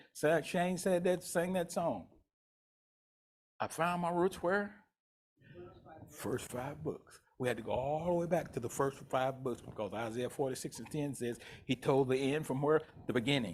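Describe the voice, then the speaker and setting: A man with a fairly high pitch and lively intonation speaks at a moderate pace. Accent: Southern US. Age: 70s. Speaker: pastor. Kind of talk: sermon. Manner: animated.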